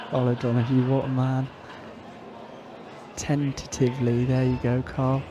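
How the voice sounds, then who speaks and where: A man's medium-pitched, monotone voice at a moderate pace, with long, frequent pauses and noticeable background noise. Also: very even loudness. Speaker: pool commentator, player. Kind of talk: live commentary. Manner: casual, chatty.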